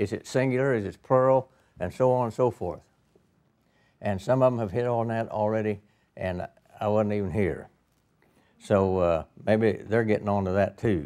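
Against a quiet background, a man with a fairly low pitch and a dark, mellow tone speaks at a moderate pace, with long, frequent pauses. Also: ordinary pitch variation. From East Central Illinois, US Midwest. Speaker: Bible teacher. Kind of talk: sermon. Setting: church with audience. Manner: folksy, humorous, uses fillers. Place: hall. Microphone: podium.

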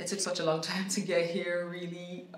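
Over light background noise and audible room echo, a woman speaks in a Nigerian accent. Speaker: voice actor. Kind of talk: casual talk to camera. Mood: warm, grateful. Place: home room.

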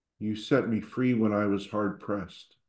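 A man's calm, soothing tone in a flat monotone over a quiet background. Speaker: service leader. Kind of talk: guided prayer. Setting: church. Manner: calm, soothing, slow and gentle. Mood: calm, quiet, devotional. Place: home room. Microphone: video call.

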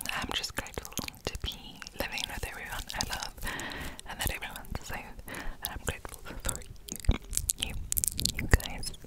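A soft-spoken woman whispering at a moderate pace, with long, frequent pauses. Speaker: ASMR creator. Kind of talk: soft ASMR chat. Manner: soft close-mic ASMR whisper. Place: home room. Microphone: studio mic.

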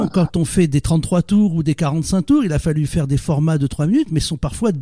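The sound is dry and close with no echo as a man talks fairly quickly in a dark, mellow tone. His pitch is fairly high with ordinary variation. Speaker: radio interviewer. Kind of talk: interview questions.

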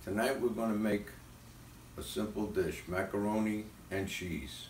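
A man's fairly low voice with audible room echo and light background noise. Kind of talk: tutorial. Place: kitchen. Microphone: phone near.

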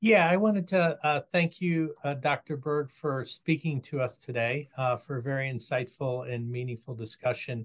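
Somewhat breathy and fairly high for a man, his voice moves at a moderate pace with ordinary pitch variation and hardly any pauses. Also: quiet background. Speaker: nonprofit executive director; event host. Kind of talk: webinar introduction. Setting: video call. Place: home room. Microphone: video call.

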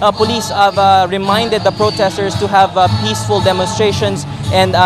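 Music plays in the background while a man speaks at a moderate pace. The sound is dry with no echo. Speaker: field news reporter. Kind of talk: live news report. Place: street. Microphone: handheld.

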